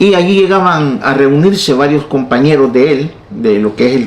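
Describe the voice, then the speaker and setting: This man's voice sits fairly high and moves with lively intonation. Noticeable background noise runs underneath. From El Salvador, San Salvador. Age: 60s. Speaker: pastor and evangelist, former guerrilla. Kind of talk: testimony.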